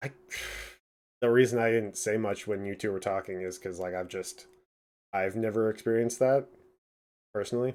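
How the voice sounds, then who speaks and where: In a very clean recording with a silent background, a man with a fairly low voice talks at a fairly quick pace, with long, frequent pauses and fairly even intonation. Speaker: podcast host. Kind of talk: casual chat. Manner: loud.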